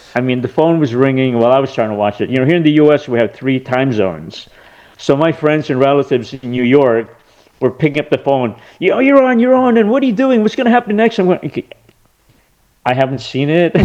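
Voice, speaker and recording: A man speaks very fast with an American accent. His pitch is fairly high and his intonation lively. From California. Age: 60s. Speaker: actor and lawyer turned film director. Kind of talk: casual interview. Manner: halting, many fillers and restarts.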